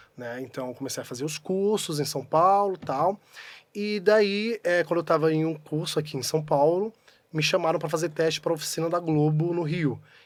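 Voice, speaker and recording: In a very clean recording with a silent background, a man talks at a moderate pace and a fairly high pitch with ordinary pitch variation. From Pernambuco, Brazilian Northeast (interior town). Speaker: actor. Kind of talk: casual chat. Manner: animated.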